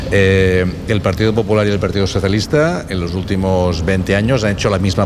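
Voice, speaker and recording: Background noise is noticeable. Room echo can be heard. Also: man. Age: 60s. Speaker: political science professor. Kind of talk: radio interview. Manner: halting, with frequent repetitions.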